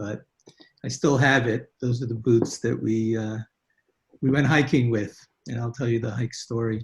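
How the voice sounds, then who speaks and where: At a moderate pace, a man speaks at a medium pitch in a somewhat breathy voice with monotone, flat intonation. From Hungary (Budapest), then Brooklyn from age 7. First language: Hungarian. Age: 70s. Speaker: guest telling family history, physician. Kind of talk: testimony. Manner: halting, with many fillers.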